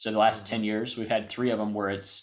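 On a very clean recording with a silent background, a man with an American accent speaks at a very fast pace in a fairly low pitch. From US South. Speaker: sports podcast co-host. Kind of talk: casual chat. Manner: animated.

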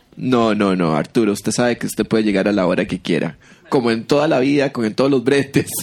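Amid noticeable background noise, a man talks at a very fast pace in a medium pitch with lively intonation. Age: 40s. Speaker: podcast co-host, comedian. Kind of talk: casual comedic chat.

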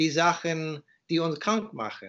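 A man with an English accent, a fairly high pitch, ordinary pitch variation and a very slow pace. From USA. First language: English (speaking German). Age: 50s. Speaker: author and raw food advocate. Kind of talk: interview. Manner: halting.

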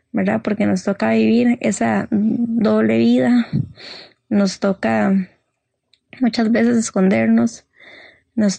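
The speaker is a woman. Her voice sounds dry and close, without any echo. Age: 20s. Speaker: guest sharing mental health story. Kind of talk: personal testimony.

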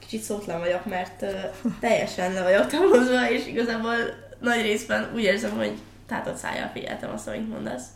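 Against noticeable background noise and audible room echo, a woman talks at a fairly quick pace. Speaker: podcast host. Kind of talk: interview.

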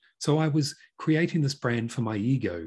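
The voice is somewhat breathy with a dark, mellow tone, lively intonation and a fairly quick pace. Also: man, very clean recording, silent background. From New Zealand. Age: 50s. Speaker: business consultant and podcast host. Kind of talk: interview.

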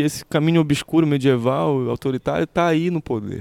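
A man speaks at a moderate pace with fairly high pitch and ordinary pitch variation. The recording is very clean with a silent background, dry and close with no echo. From Pará, Brazil. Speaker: musician. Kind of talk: interview. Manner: halting.

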